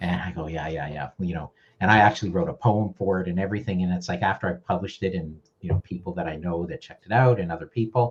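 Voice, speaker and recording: A man talks at a very fast pace with a very deep, low pitch and ordinary pitch variation. His voice is somewhat breathy, with big swings in loudness. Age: 60s. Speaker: video marketing educator. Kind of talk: casual interview.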